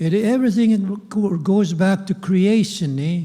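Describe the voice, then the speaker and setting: A man speaks very slowly, with ordinary pitch variation. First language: Cree. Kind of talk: ceremonial welcome address. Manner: halting, repetitive.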